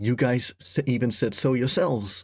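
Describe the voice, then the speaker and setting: A man speaks with fairly even intonation in a very clean recording with a silent background. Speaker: YouTuber. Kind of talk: personal vlog explanation. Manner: halting, many restarts and fillers; says he sounds demeaning, superior.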